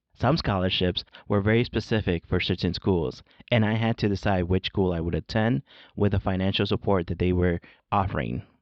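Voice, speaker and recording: At a fairly quick pace, a man speaks in a very deep, low voice with ordinary pitch variation and very even loudness. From born in Mexico, grew up in California and Chicago. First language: Spanish. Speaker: podcast host, education professor. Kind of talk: scripted narration. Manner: formal.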